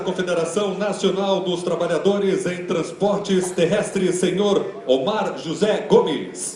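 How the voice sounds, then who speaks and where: Over noticeable background noise, a man speaks at a fairly slow pace in a high voice with fairly even intonation. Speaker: master of ceremonies. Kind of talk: formal event opening announcement. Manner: formal, ceremonial.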